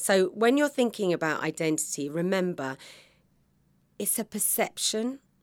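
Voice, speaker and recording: A fairly low-pitched woman's voice in a British accent, on a very clean recording with a silent background. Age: 50s. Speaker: podcast host, confidence coach. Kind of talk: motivational monologue. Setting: podcast studio pod.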